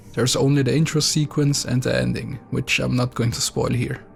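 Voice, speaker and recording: A man with a non-native accent speaks at a moderate pace and medium pitch, with music playing in the background. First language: not English. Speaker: video game reviewer. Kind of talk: scripted narration.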